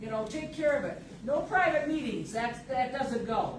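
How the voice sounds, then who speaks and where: A woman with lively intonation talks at a fairly slow tempo, while noticeable background noise and audible room echo fill the recording. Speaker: resident speaking at public comment. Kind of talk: public comment at township meeting. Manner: loud.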